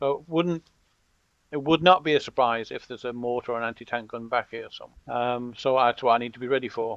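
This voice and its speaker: A man with an American accent speaks at a medium pitch and a fairly quick pace. His intonation stays fairly even. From Britain. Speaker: video game content creator. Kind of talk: gameplay commentary tutorial. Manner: casual, conversational.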